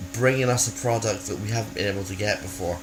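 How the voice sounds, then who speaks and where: A man speaks in a Scottish accent with ordinary pitch variation. Audible room echo and noticeable background noise are present. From Scotland. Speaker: video blogger. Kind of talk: casual vlog. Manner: halting, many fillers and restarts.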